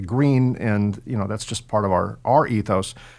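Delivered at a moderate pace with an American accent, this is a plain, everyday voice with ordinary pitch variation. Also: man, very clean recording, silent background. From California. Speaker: podcast host. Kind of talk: scripted narration; interview.

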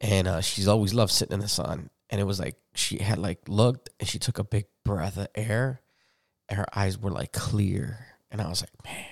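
In an American accent, a man with a plain, everyday voice talks at a moderate pace, fairly low in pitch and with fairly even intonation. The sound is dry and close with no echo, and the recording is very clean with a silent background. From Chicago, Humboldt Park. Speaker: podcast host. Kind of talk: casual chat.

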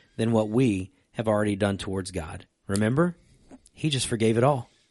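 Against a quiet background, a man with an unremarkable speaking voice talks at a moderate pace with lively intonation. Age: 30s. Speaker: church podcast co-host, pastor. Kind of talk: casual chat about faith. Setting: church stream room.

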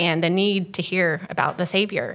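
A woman's bright, sharp voice with an American accent and ordinary pitch variation, on a very clean recording with a silent background. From Texas. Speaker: missionary. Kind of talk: interview.

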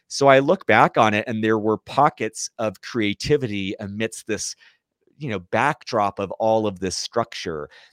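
With an American accent, a man speaks at a fairly low pitch and ordinary pitch variation. The recording is very clean, with a silent background and a dry, close sound with no echo. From Southern California (Fullerton, Orange County). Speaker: entrepreneur and military veteran. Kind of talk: interview conversation.

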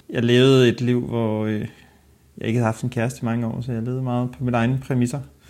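Over a very clean recording with a silent background, a man speaks very fast at a medium pitch with fairly even intonation. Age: 30s. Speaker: archive worker, accident victim. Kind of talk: interview testimony.

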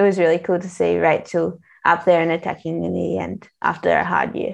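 A woman speaks fairly quickly in an Australian accent. The background is quiet. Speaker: professional cyclist. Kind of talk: casual interview.

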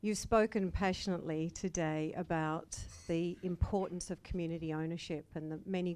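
On a very clean recording with a silent background, a woman with an Australian accent speaks at a moderate pace in a fairly low pitch. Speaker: entrepreneur, audience questioner. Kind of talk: audience question. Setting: live event with audience.

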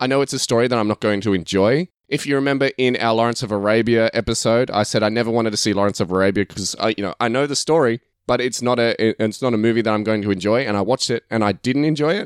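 At a very fast pace, a man with an Australian accent speaks with hardly any pauses in a medium pitch that varies in an ordinary way. The sound is dry and close, with no echo. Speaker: podcast host. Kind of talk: casual chat. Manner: laughs often.

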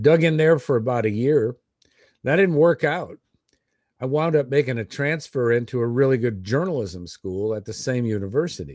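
With an American accent and an ordinary speaking voice, a man speaks at a moderate pace and medium pitch with lively intonation, on a very clean recording against a silent background. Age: 60s. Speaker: army veteran. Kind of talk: casual chat.

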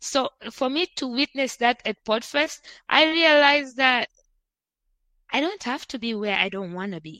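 In a very clean recording with a silent background, a woman uses a raised, projected voice at a high pitch with a bright, sharp tone. She moves at a moderate pace with long, frequent pauses, very wide pitch swings and big swings in loudness. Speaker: podcast host. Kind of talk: casual chat.

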